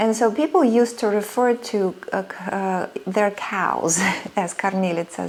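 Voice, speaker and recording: A woman speaks in a medium pitch with a Russian accent. Noticeable background noise runs behind her. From Soviet Union (Russia). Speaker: sewing and vintage fashion creator. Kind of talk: personal storytelling vlog. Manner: hesitant, many fillers.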